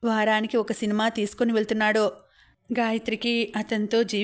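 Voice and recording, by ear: This voice reads aloud in a natural way.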